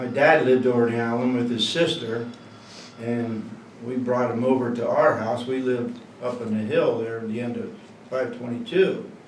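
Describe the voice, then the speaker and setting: In a room with audible echo and noticeable background noise, a man speaks with a central Pennsylvania accent. His pitch is medium, his pace moderate, and his intonation fairly even. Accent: central Pennsylvania American. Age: 60s. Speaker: local resident interviewee. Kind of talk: oral history interview. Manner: casual, hesitant.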